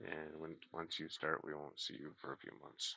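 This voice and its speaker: Soft-spoken, a man talks at a fairly slow pace. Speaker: aquarium hobby livestreamer. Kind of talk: casual livestream chat. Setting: live stream reading chat.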